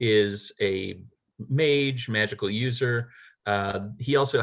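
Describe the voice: Plain reading aloud with ordinary pitch variation over a quiet background.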